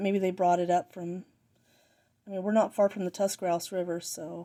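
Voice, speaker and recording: Speaking at a fairly quick pace, a woman with a dark, mellow tone at medium pitch keeps a monotone, flat intonation. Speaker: hobby artifact collector. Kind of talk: casual show-and-tell. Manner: halting, many false starts.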